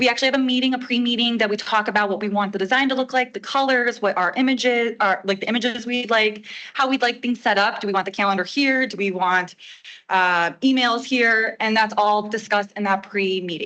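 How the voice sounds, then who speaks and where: A loud woman's voice, fairly high-pitched and fairly quick, bright and sharp in tone, with fairly even intonation. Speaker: village staff member presenting website update. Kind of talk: presentation to a board meeting.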